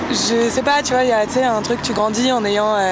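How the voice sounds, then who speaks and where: Against noticeable background noise and audible room echo, a woman speaks with fairly even intonation. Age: 20s. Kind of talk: casual chat. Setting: outdoors.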